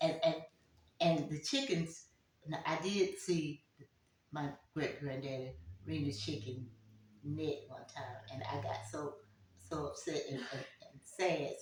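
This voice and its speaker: With vocal fry and lively intonation, a woman speaks very slowly in a very deep, low pitch, leaving long, frequent pauses. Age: 80s+. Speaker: community elder. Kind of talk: interview answer.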